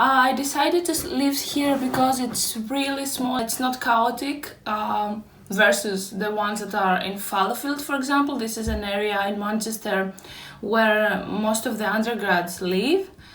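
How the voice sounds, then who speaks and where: A woman with a Greek accent speaks at a moderate pace and a fairly high pitch with ordinary pitch variation, and audible room echo surrounds her. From Greece. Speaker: YouTuber, postgraduate student. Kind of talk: room tour vlog.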